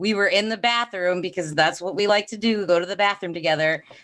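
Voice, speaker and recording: Fairly even in intonation, a woman talks at a fairly quick pace. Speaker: podcast co-host. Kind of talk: casual chat.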